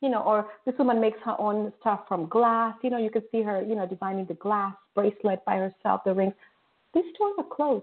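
Fairly quick and fairly high-pitched, a woman speaks in an ordinary speaking voice with ordinary pitch variation. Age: middle-aged. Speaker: internet radio host. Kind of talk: casual talk show chat.

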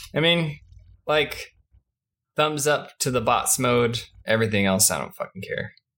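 A man's medium-pitched voice with a bright, sharp tone, a moderate pace and ordinary pitch variation. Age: 20s. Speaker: podcast co-host. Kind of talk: casual chat.

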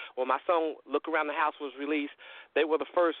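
Talking at a very fast pace, a man with a fairly high voice speaks with a North Carolina accent. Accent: Southern US (North Carolina). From US South, North Carolina (Lincolnton). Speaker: country singer-songwriter. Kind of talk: radio interview.

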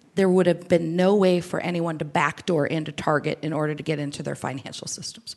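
A woman with an unremarkable speaking voice talks fairly quickly at a fairly low pitch, hardly pausing at all. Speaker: IoT partnerships director. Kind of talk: interview. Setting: live at a conference.

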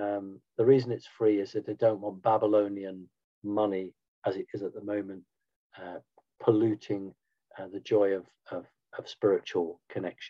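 A man with a British accent speaks at a moderate pace and a fairly low pitch, in a monotone, flat intonation. Long, frequent pauses and big swings in loudness run through it. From Britain. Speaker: spiritual movement founder. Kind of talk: interview.

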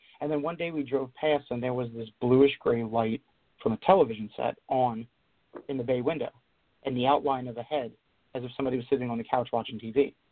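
Speaking at a fairly quick pace with fairly even intonation, a man has a normal speaking voice. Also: medium pitch for a man. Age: 30s. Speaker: poet. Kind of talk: interview.

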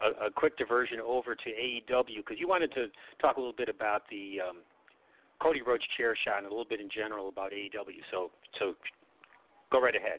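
Speaking with an American accent, a man keeps a fairly quick pace and a medium pitch with ordinary pitch variation, broken by long, frequent pauses. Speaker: wrestling podcast co-host. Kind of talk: casual chat. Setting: phone call.

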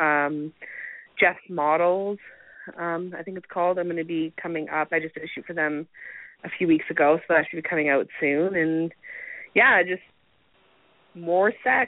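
In a western Canadian accent, a woman with a fairly low pitch talks at a moderate pace with fairly even intonation, long, frequent pauses and big swings in loudness. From Canada, Alberta. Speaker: adult film performer. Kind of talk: casual interview.

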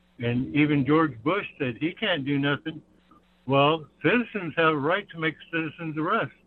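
A normal speaking voice moves at a moderate pace. Its pitch varies in an ordinary way. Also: man, fairly high pitch for a man. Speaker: caller. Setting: phone call.

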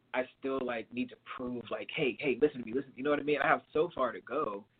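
A man's plain, everyday voice at medium pitch, moderate pace and fairly even intonation. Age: 30s. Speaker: R&B singer. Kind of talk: casual interview.

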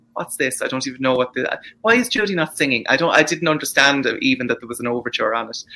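A man's fairly high, bright, sharp voice at a very fast pace, with big swings in loudness and ordinary pitch variation. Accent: Irish. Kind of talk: casual chat. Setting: video call.

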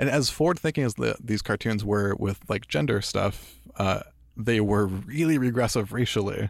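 A man with a fairly low voice and vocal fry speaks at a moderate pace with lively intonation and very even loudness. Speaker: podcast host. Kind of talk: casual chat. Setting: studio.

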